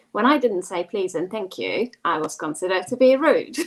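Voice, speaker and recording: At a moderate pace, a woman with a Hungarian accent talks in very wide pitch swings. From Hungary. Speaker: global mobility professional. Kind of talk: panel discussion.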